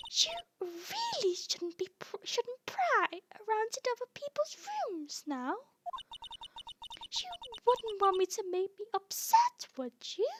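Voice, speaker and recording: A woman puts on a squeaky character voice at an extremely high pitch, with very wide pitch swings. She speaks at a fairly slow pace with long, frequent pauses, in a dry, close sound with no echo. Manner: scolding, sweetly threatening.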